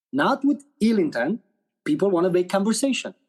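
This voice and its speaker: A man speaks at a moderate pace in a high pitch with a Romanian accent, the sound dry and close with no echo. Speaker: actor and director. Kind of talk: podcast interview. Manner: animated.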